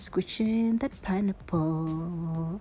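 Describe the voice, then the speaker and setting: Music in the background accompanies a woman's lively intonation. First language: not English. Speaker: cooking vlogger. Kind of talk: cooking tutorial. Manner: casual, chatty.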